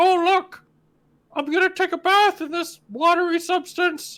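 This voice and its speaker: This is a put-on character voice. The recording is very clean, with a silent background. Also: woman, extremely high pitch for a woman, moderate pace. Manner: silly.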